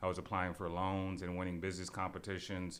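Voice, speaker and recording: There is audible room echo around a man speaking with an American accent at a very deep, low pitch. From US Midwest, Shaker Heights near Cleveland, Ohio. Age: 20s. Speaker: food entrepreneur. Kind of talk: casual interview.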